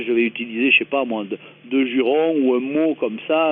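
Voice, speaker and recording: With a southern French accent, a man talks at a moderate pace, his medium pitch showing ordinary variation. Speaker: comedy writer and performer. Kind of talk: radio interview. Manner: hesitant, many fillers.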